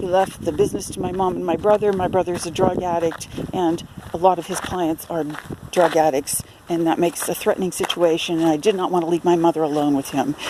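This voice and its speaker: Against noticeable background noise, a woman with a fairly low pitch talks at a fairly quick pace. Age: 60s. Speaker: self-promoting writer and photographer. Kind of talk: video self-introduction. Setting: outdoors at a campground. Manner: hesitant, many fillers.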